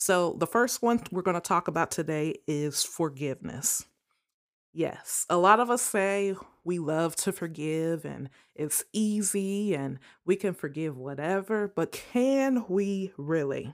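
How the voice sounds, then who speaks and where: Heard in a very clean recording with a silent background, a woman with an American accent and a plain, everyday voice speaks at a fairly slow pace. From US Midwest, Ohio. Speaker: podcast host. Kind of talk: solo talk with advice.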